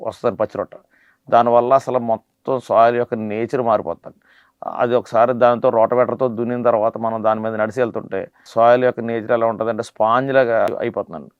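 This man's intonation is monotone and flat. His pitch sits in the medium range. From Andhra Pradesh, Konaseema district. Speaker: coconut farmer. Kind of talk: interview explanation. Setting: studio.

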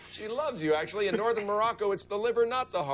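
Lively intonation in an unforced reading voice

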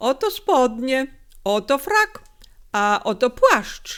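Using a put-on character voice, a woman speaks at a very slow pace at a high pitch, with very wide pitch swings. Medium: read story. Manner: fawning, unctuous.

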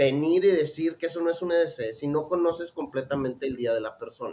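This man talks at a moderate pace. His pitch is high. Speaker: knife and everyday-carry channel host. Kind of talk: casual live stream chat.

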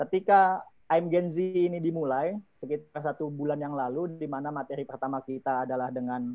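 A man with a plain, everyday voice talks at a fairly quick pace with a fairly high pitch and ordinary pitch variation, against a quiet background. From Indonesia. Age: 30s. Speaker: youth organization chief; webinar presenter. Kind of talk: presentation. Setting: video call. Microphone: earbuds.

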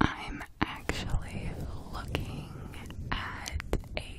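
Loud background noise fills the recording. A woman speaks at a very slow pace. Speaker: ASMR creator. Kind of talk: ASMR whisper video, casual talk to camera. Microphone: studio mic.

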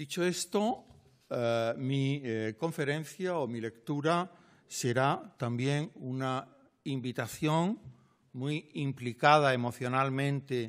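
Very slow speech with ordinary pitch variation over a quiet background. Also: man. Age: 60s. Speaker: literature professor. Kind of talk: lecture. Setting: lecture hall with audience. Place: hall. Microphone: podium.

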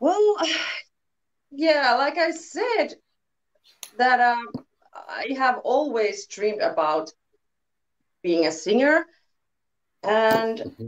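With a Finnish accent, a woman talks at a very slow pace, leaving long, frequent pauses. Her high voice makes very wide pitch swings. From Finland. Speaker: band singer. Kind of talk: casual interview. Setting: video call. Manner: halting. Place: home room.

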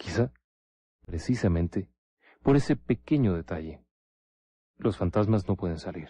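Over a quiet background, a man with a Mexican accent speaks at a moderate pace in a dramatic, dark, mellow tone with ordinary pitch variation. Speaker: paranormal radio host. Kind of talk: ghost story telling, spooky late-night radio narration. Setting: radio-style studio. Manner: conspiratorial, hushed and suspenseful, with dramatic pauses and rhetorical questions; formal, addresses listener as 'usted'.

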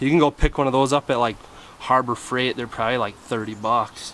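Over light background noise, a man with an American accent speaks at a moderate pace with fairly even intonation. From Wisconsin. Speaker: DIY mechanic video creator. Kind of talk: tutorial. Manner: casual, filler-heavy. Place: garden.

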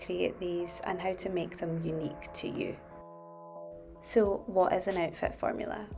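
Music plays in the background as a woman with a Scottish accent speaks. Her pitch is medium, her pace moderate and her intonation fairly even. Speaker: fashion YouTuber. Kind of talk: casual style tutorial to camera.

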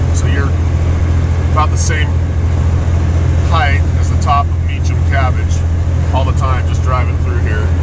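Moderate pace with long, frequent pauses, a dry sound with no echo, and loud background noise. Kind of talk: casual vlog chat. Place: car. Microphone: phone near.

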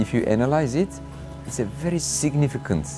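Clear music plays behind a man as he talks. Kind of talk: interview answer. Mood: warm, grateful. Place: garden.

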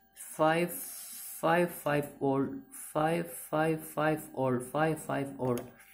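A woman's very deep, low voice with ordinary pitch variation, faint music in the background. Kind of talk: tutorial. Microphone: phone near.

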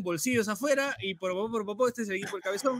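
Words tumble out of this man at a very fast pace. The rise and fall of his voice is fairly even. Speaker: sports podcast host. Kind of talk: casual chat.

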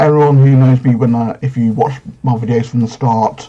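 Somewhat breathy and dark, mellow in tone, a man speaks at a moderate pace. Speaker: youtuber. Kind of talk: casual vlog chat. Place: home room. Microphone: webcam.

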